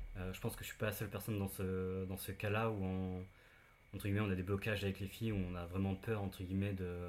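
Speaking at a very fast pace, a man has a fairly low pitch and a monotone, flat intonation. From Brittany, France (near Saint-Malo). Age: 30s. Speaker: web developer. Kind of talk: interview, personal testimony. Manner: halting, many fillers.

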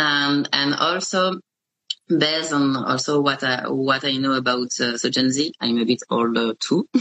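A woman with a French accent speaks at a fairly slow pace in a very deep, low voice, keeping very even loudness and ordinary pitch variation. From France. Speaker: podcast host, media founder. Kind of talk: interview. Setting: video call. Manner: halting.

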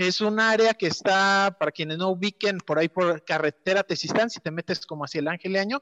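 A man with a Mexican accent speaks in a high voice at a moderate pace. His pitch varies in an ordinary way, and the sound is dry, close, with no echo. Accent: Mexican Spanish (Jalisco). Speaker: local environmental activist on social media. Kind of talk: casual chat.

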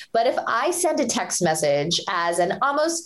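A woman's voice with very wide pitch swings amid noticeable background noise. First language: Hindi or Punjabi. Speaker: author and public speaker. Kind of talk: interview conversation.

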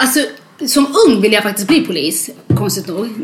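A woman speaks with lively intonation. There is audible room echo and noticeable background noise. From Sweden, moved from Eritrea at six. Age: 30s. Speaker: interviewee sharing life story. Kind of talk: testimony.

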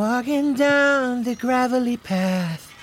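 This put-on character voice, female-sounding, is nasal and high-pitched and moves at a very slow pace.

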